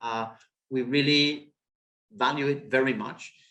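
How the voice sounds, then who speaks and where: With a non-native accent, a man speaks in a fairly high pitch and fairly even intonation. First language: not English. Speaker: webinar presenter, retail consultant. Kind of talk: webinar presentation. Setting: online webinar. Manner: halting, many fillers.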